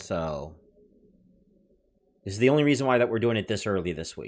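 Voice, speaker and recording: Loud and fairly low-pitched, a man talks at a fairly quick pace with lively intonation. The recording is very clean, with a silent background. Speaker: livestream host reviewing money-making apps. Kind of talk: casual livestream chat reading viewer comments.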